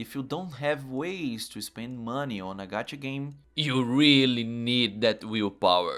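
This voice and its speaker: A man at medium pitch with a Portuguese accent, fairly slow with hardly any pauses, big swings in loudness and ordinary pitch variation. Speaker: gaming YouTuber. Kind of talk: video commentary.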